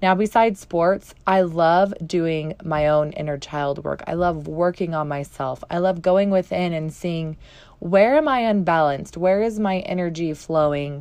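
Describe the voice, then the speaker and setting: A woman with a plain, everyday voice speaks fairly slowly at a fairly low pitch. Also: ordinary pitch variation, hardly any pauses. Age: 30s. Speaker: women's life coach and podcast host. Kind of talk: motivational solo podcast talk.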